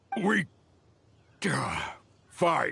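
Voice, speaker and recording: A man puts on a raspy, gruff character voice. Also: high pitch for a man. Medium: video game. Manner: gruff, slangy.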